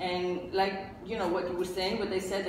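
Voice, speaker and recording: Amid noticeable background noise and audible room echo, a woman speaks at a fairly low pitch. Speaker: podcast host. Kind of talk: podcast discussion. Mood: candid, occasionally laughing. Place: home room.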